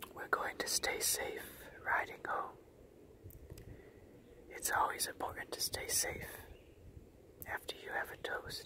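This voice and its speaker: Whispering in a calm, relaxed tone, a man goes at a fairly slow pace with long, frequent pauses. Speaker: ASMR creator. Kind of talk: ASMR wine-drinking talk to camera. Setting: outdoors in the woods. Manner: calm, relaxed, casual. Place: forest. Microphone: camera far.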